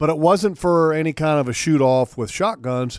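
An unremarkable speaking voice with lively intonation moves at a fairly slow pace in a dry, close sound with no echo. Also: man. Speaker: radio host. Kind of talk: casual chat.

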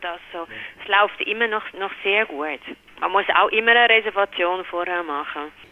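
Noticeable background noise sits behind a woman's medium-pitched voice. She talks at a moderate pace with ordinary pitch variation. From Netherlands. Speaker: restaurant office worker. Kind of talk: interview. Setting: phone call. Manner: halting, many fillers.

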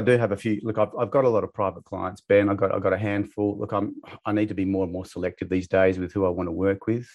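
In an Australian accent, a man speaks at a fairly low pitch. His pace is very fast, with hardly any pauses. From Perth, Western Australia. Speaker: financial coach and author. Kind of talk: interview. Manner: halting, with many repetitions.

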